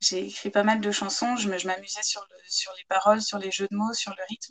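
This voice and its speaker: Fairly even intonation and a moderate speed from a woman. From France, Chartres (Eure-et-Loir). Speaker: novelist and former photographer. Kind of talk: interview. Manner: hesitant, with many repetitions.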